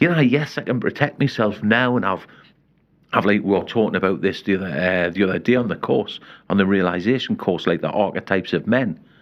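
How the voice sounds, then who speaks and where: A man's fairly low voice, very fast, with lively intonation. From northern England, Newcastle. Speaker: life coach and men's health counsellor. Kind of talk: casual interview chat. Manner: animated.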